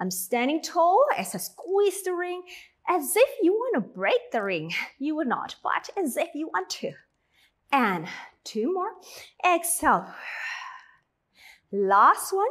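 At a very slow pace, a woman with an extremely high pitch speaks with long, frequent pauses against a quiet background. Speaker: fitness instructor. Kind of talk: workout instruction. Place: gym.

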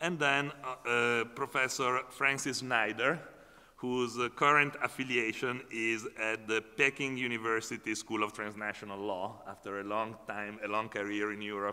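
The voice has a bright, sharp tone and fairly even intonation. It moves at a moderate pace. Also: man. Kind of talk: opening remarks at a conference. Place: hall. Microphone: podium.

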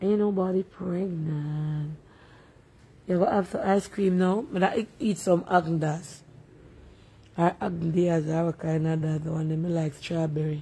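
In a Jamaican accent, a woman speaks at a fairly slow pace and fairly low pitch, her tone relaxed and her intonation fairly even. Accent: Jamaican, with patois. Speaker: livestream host. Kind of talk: casual live chat reading comments. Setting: at home, livestream. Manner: relaxed, chatty. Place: home room. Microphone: phone near.

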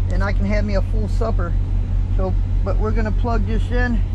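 A man is speaking, with noticeable background noise. The sound is dry, with no echo. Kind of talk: casual vlog chat. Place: car. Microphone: phone near.

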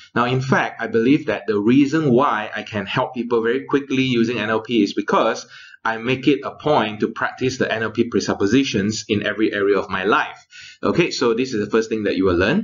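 Quick-paced speech from a man, with normal rise and fall in pitch. Nothing can be heard behind him. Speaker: course trainer. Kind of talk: lecture. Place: home room. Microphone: studio mic.

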